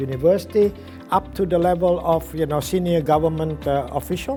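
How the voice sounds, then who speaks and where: A man speaks at a moderate tempo while music plays behind him. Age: 70s. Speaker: professor and trainer, author. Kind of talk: interview answer.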